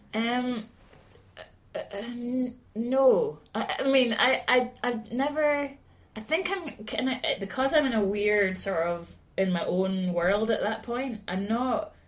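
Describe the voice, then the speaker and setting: Over noticeable background noise, a woman with a high voice speaks very slowly with lively intonation. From Scotland, Aberdeen. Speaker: singer-songwriter. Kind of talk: casual chat. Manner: halting.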